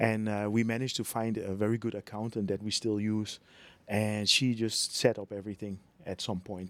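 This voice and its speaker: A man with a Dutch accent talks at a fairly quick pace on a very clean recording with a silent background. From Netherlands. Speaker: real estate business owner and YouTuber. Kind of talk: casual interview conversation. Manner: halting.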